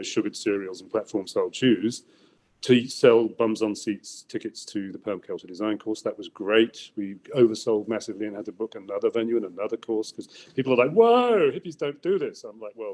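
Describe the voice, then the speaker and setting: With an English accent, a man talks in big swings of loudness. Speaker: environmental entrepreneur. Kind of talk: interview. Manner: animated.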